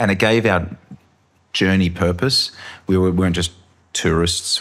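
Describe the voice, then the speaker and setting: Speaking with an Australian accent, the man moves along at a fairly quick clip. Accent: Australian, moderate. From Australia, Sydney. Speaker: filmmaker. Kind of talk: interview. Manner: animated.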